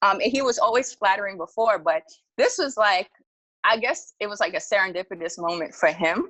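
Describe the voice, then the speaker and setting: A woman with a New York accent and a medium-pitched voice speaks in an animated tone with lively intonation. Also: fairly quick pace. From Jamaica, Queens, New York City. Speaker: storytelling podcast guest. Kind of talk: casual storytelling.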